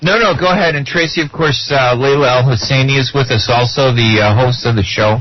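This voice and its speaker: Medium-pitched male voice with a Chicago accent, a fairly quick pace, hardly any pauses, very even loudness and ordinary pitch variation, over noticeable background noise. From US, Chicago. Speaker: radio co-host, journalist. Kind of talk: radio interview.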